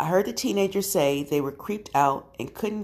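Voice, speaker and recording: A woman uses an ordinary speaking voice at a fairly quick pace, with ordinary pitch variation. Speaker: podcast host reading scary stories. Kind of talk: ghost story telling, eerie narration of first-person scary tales. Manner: casual, friendly with audience.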